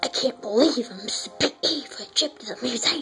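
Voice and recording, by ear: The speaker uses a put-on character voice at a fairly high pitch. Loudness swings widely, and music plays clearly in the background.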